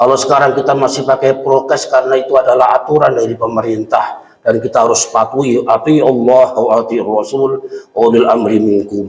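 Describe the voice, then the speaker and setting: This is an ordinary speaking voice. A man talks at a medium pitch and a moderate pace. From Central Java (Kendal, Kaliwungu). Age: 50s. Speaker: Islamic preacher. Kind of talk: sermon. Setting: mosque.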